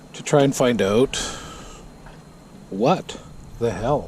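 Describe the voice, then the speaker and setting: A man with a medium-pitched voice speaks at a fairly slow pace. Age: 60s. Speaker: motorcycle vlogger. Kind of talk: casual monologue. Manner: hesitant, many fillers.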